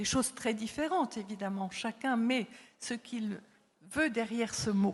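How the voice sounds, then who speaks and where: Somewhat breathy, a woman speaks at a fairly slow pace in a fairly high pitch with ordinary pitch variation. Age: 70s. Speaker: psychologist and author, former palliative care worker. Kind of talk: conference talk. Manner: hesitant, many fillers.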